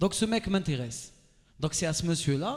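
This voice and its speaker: The speaker is a man with a fairly high voice. His tone is animated and his intonation lively. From Algeria. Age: 30s. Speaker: radio and TV host, motivational speaker. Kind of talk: motivational talk to a live audience. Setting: stage with audience.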